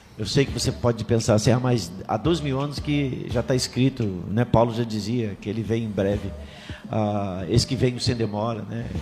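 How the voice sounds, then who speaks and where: A man with a medium pitch talks at a moderate pace and ordinary pitch variation while music plays in the background. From Rio de Janeiro, Complexo do Alemão. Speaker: apostle and church leader. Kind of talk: casual chat.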